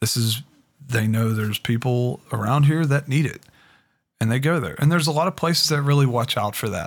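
A man talks in a normal speaking voice at medium pitch. His pace is fairly quick, and his pitch varies in an ordinary way. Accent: American. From Pittsburgh, US. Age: 30s. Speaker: former addict sharing recovery story. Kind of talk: testimony.

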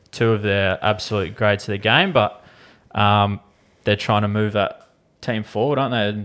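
With an Australian accent, a man talks at a fairly low pitch and with fairly even intonation, recorded very cleanly over a silent background. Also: moderate pace. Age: 20s. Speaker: podcast co-host and cricketer. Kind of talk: casual chat. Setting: studio.

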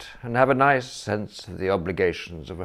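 Just plain reading aloud.

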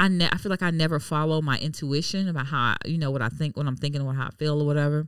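With an American accent, a woman speaks at a very deep, low pitch with ordinary pitch variation in a very clean recording against a silent background. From Miami, Florida. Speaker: podcast co-host. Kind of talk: casual chat.

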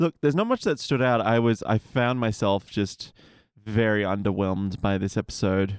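A man's unremarkable speaking voice, fairly low in pitch with ordinary variation, at a moderate pace in a dry, close sound with no echo. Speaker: podcast guest. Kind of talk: casual comedic banter.

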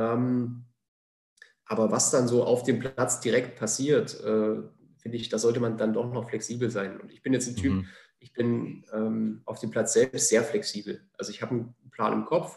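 A man speaks with vocal fry and big swings in loudness. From Thuringia, Jena (eastern Germany). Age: 30s. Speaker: goalkeeper coach. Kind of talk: podcast interview. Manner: hesitant, many filler sounds.

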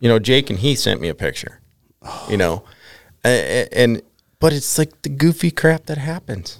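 A man with an American accent speaks at a moderate pace in a medium pitch, with vocal fry, very wide pitch swings and big swings in loudness. The recording is very clean with a silent background and a dry, close sound with no echo. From Minnesota. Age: 30s. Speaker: fly fisherman. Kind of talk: casual chat.

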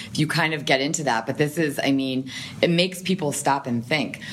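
Noticeable background noise runs through the clip. The woman's pitch varies in an ordinary way. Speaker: nonprofit communications professional. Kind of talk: casual interview conversation. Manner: fast talker.

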